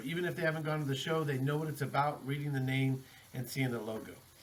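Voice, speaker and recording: A fairly high-pitched man with an American accent, very fast and fairly even in intonation, with audible room echo and noticeable background noise. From Texas, El Paso. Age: 40s. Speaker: rock drummer and band founder. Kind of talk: podcast interview. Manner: casual, filler-heavy.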